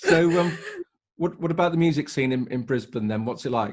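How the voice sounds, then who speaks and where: With lively intonation, a man in an English accent talks at a very fast pace. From England. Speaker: podcast host. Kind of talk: casual interview chat.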